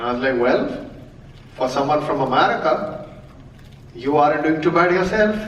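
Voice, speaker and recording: A man speaks at a moderate pace and a fairly high pitch, with ordinary pitch variation and long, frequent pauses. Audible room echo and noticeable background noise fill the recording. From India, Mumbai. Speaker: comedian. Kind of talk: stand-up. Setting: stage with audience. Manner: animated.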